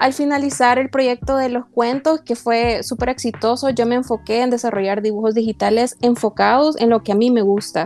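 The voice keeps very even loudness and fairly even intonation, with hardly any pauses. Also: woman, high pitch for a woman, moderate pace. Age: 20s. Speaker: student and small online business owner. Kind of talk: podcast interview.

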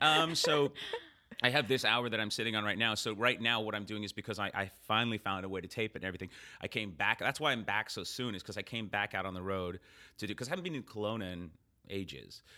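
A man's bright, sharp voice at a fairly low pitch, very fast pace, very clean recording with a silent background. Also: ordinary pitch variation. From Canada, born in England. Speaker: stand-up comedian. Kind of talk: casual interview chat. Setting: in person, on tour in Kelowna.

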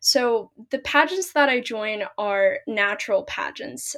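An ordinary speaking voice belongs to a woman with an American accent, pitched fairly high with ordinary pitch variation. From US Pacific Northwest, Seattle. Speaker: pageant title holder and college student. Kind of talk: interview.

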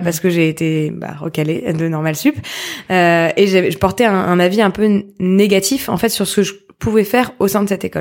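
An unremarkable speaking voice from a woman, medium in pitch, with ordinary pitch variation and a moderate pace. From Paris. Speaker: social entrepreneur. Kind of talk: interview conversation.

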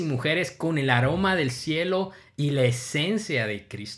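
A man with a normal speaking voice talks at a fairly slow pace in a fairly high pitch, his pitch varying in an ordinary way, on a very clean recording with a silent background. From Guatemala. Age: 30s. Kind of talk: devotional monologue.

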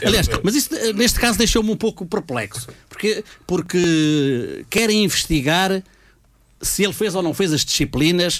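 A man's high voice with lively intonation, moderate pace and very even loudness. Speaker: university lecturer. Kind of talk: casual chat. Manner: halting.

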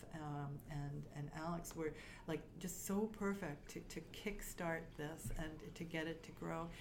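Fairly low in pitch, a woman talks at a fairly slow pace with fairly even intonation. Audible room echo and noticeable background noise fill the recording. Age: 60s. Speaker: startup consultant and coach. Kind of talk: interview.

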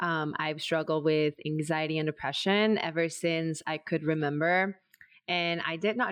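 Someone with an American accent talks at a moderate pace in an unremarkable speaking voice. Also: woman. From US, Mexican American. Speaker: artist and barre instructor. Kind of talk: casual chat.

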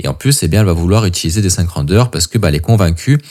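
The speaker is a man with a very deep, low pitch. His tone is dark and mellow. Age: 30s. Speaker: coach and podcast host. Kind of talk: solo podcast monologue. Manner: casual, with hesitations.

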